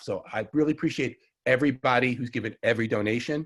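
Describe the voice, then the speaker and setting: Someone talks with a Long Island accent in a very clean recording against a silent background. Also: man. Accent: Long Island New York. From Long Island, New York. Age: 60s. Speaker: herbalist. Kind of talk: lecture. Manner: fast.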